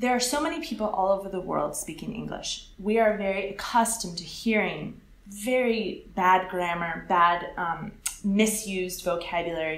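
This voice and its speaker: A medium-pitched woman with an American accent and ordinary pitch variation, amid noticeable background noise and audible room echo. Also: moderate pace. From California, US. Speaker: English teacher. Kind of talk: interview.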